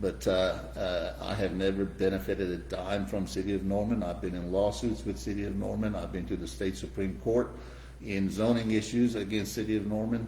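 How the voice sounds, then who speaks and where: A man's very deep, low voice at a fairly quick pace, swinging widely in pitch, with audible room echo. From Iran. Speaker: real estate developer. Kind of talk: interview. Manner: halting, many fillers.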